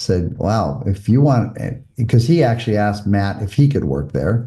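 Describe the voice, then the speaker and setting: A man with an American accent talks at a moderate pace in a fairly low pitch, his dark, mellow tone carrying vocal fry and lively intonation. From US West Coast, Malibu, California. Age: 60s. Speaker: former mayor and volunteer firefighter, podcast guest. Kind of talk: interview conversation.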